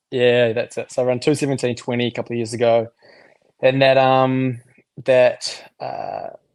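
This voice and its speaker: A man speaks in monotone, flat intonation at a medium pitch and moderate pace. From New Zealand. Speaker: marathon runner. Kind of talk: casual chat.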